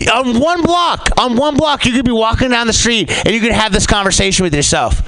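A man talks at a fairly quick pace with an extremely high pitch, lively intonation and hardly any pauses. His loudness stays very even, with noticeable background noise behind him. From San Francisco Bay Area. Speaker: comedian. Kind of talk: stand-up. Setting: stage with audience.

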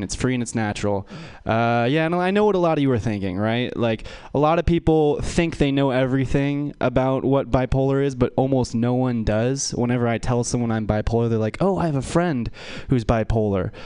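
A man with an ordinary speaking voice, medium pitch and an American accent, at a fairly quick pace with ordinary pitch variation, against a quiet background. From US West Coast. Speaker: stand-up comedian. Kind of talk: stand-up. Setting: stage with audience.

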